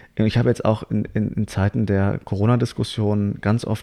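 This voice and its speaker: Speaking at a fairly quick pace, a man uses a fairly low pitch and a dark, mellow tone in a monotone, flat intonation. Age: 20s. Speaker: actor and writer. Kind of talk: casual chat. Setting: on a couch in a living room.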